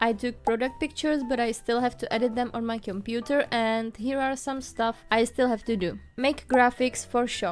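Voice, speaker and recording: A woman speaks with a non-native accent at a fairly high pitch. Her intonation stays fairly even. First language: not English. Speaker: art vlogger and small shop owner. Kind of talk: casual vlog voiceover. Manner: warm, friendly.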